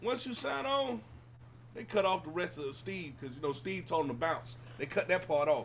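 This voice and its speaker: Against noticeable background noise, a man speaks at a fairly slow pace in a raised, projected voice, his animated tone marked by very wide pitch swings. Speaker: talk show host. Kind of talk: casual chat. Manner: loud.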